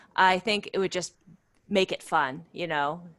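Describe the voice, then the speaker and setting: The speaker has an ordinary speaking voice. The pace is moderate. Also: woman. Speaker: outdoor club volunteer leader and workshop presenter. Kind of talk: webinar Q&A. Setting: video call.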